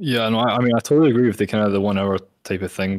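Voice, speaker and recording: A man with a Scottish accent speaks at a fairly quick pace. His intonation is fairly even, and the recording is very clean with a silent background. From Scotland. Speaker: gaming community event host. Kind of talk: panel discussion.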